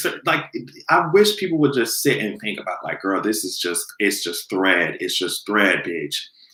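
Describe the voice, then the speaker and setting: In an animated tone with lively intonation, a man speaks at a moderate pace. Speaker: commentary video host. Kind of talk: casual vlog commentary.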